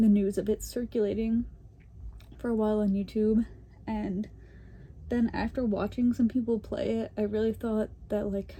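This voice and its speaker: A woman speaks with a fairly high pitch, a dark, mellow tone and a somewhat breathy quality. Her intonation is monotone and flat, her pace moderate, with long, frequent pauses. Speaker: gaming YouTuber. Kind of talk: casual chat. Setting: home, filming on bed.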